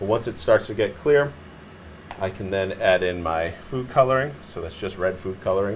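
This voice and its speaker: A fairly low-pitched man with ordinary pitch variation and big swings in loudness, over light background noise. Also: moderate pace. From Massachusetts. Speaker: chef; chef host. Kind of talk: cooking tutorial. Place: studio. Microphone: lapel.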